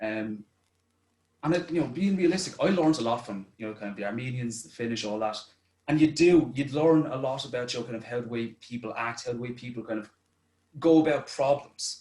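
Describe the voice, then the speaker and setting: A man with an Irish accent, medium in pitch and dark, mellow in tone, at a fairly quick pace with ordinary pitch variation and big swings in loudness. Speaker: youth participant. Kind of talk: presentation. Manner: fast.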